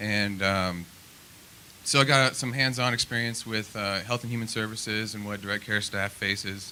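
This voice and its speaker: A man with a Midwestern US accent talks at a moderate pace, his fairly low pitch carrying a bright, sharp tone and fairly even intonation. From Nebraska, Lincoln. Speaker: political candidate. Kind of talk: opening statement at candidate forum. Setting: public forum with audience. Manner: halting, many fillers.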